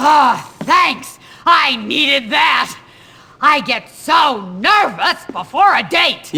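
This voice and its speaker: Putting on a character voice, a woman talks very slowly in a high register, her pitch swinging very widely. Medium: video game. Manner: cackling, crude.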